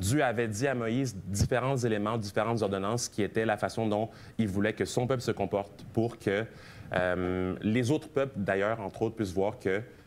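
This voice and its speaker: An unremarkable speaking voice moves at a moderate pace with ordinary pitch variation and very even loudness. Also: man. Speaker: preacher. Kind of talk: sermon.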